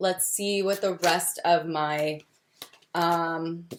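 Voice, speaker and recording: A woman with an American accent speaks at a fairly low pitch with ordinary pitch variation. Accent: Texan accent slips through at times. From Texas. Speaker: tarot reader. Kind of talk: casual tutorial video. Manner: casual, with frequent 'um' fillers.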